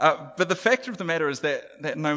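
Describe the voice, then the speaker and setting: A man's voice with very wide pitch swings. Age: 40s. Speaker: preacher. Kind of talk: sermon. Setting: church. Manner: halting.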